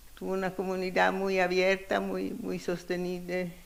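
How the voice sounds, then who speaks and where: A woman talks at a medium pitch, and audible room echo follows her words. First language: Italian (speaking Spanish). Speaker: feminist economist, keynote speaker. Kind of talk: conference keynote lecture. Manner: halting, searching for words.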